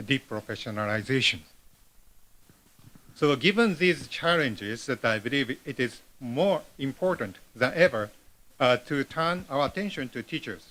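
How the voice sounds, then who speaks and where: Bright and sharp in tone, a man speaks with lively intonation and a non-native accent. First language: Japanese. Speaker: professor, keynote speaker. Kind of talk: conference keynote read from script. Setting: conference hall with large audience. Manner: halting, many fillers.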